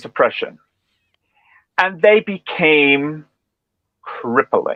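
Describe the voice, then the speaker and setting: A man with a Northern Irish accent at a very slow pace. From Northern Ireland. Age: 40s. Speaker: speech and language therapist. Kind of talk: interview answer.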